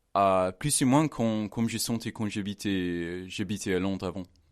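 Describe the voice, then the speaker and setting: A man with an English accent, fairly low pitch, ordinary pitch variation, and a quiet background. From England. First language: English (speaking French). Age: 20s. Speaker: language assistant. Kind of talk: radio interview. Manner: halting.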